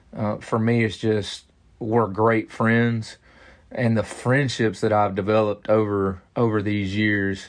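Speaking at a moderate pace with a Southern US accent, a man uses a fairly low pitch and a monotone, flat intonation. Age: 30s. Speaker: pastor. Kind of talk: interview.

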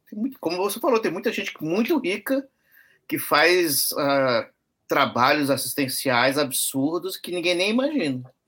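The voice has a bright, sharp tone, very wide pitch swings and a fairly slow pace. The recording is very clean with a silent background. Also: man, high pitch for a man. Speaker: umbanda priest, guest co-host. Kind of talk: casual chat and reading emails aloud. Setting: live stream.

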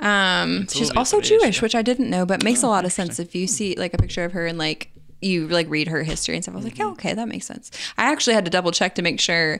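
A woman at a very fast pace and medium pitch, over noticeable background noise. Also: lively intonation. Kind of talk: casual chat.

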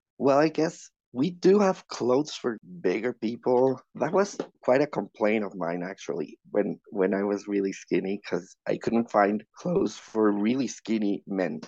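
A man's dark, mellow voice at medium pitch with a Spanish accent, lively intonation and a fairly slow pace, dry and close with no echo. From Mexico City. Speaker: podcast guest. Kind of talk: casual chat.

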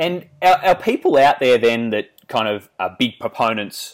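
In a very clean recording over a silent background, a man talks with an Australian accent. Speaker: podcast host, fitness coach. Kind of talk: interview. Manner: many filler words.

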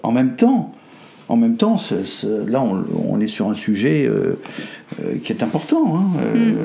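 A man talks over noticeable background noise. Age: 70s. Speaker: grandfather of the host. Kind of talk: casual family conversation. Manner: halting, repeats words.

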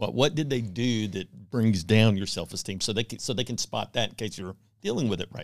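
This man has a normal speaking voice, a fairly low pitch and an American accent. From Texas (Houston). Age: 50s. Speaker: divorce support group leader. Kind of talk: casual interview.

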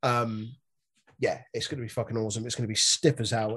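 A somewhat breathy, medium-pitched man's voice with a British accent. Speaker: wrestling podcast host. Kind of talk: casual banter. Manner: joking, animated.

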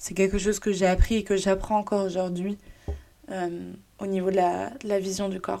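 Moderately paced, a woman's medium-pitched voice has a dark, mellow tone and a monotone, flat intonation. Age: 20s. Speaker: podcaster. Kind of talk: solo personal monologue. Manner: halting, many fillers.

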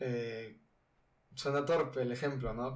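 A man with a Mexican accent speaks with fairly even intonation, and audible room echo surrounds his voice. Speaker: student podcaster. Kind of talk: casual monologue. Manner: halting.

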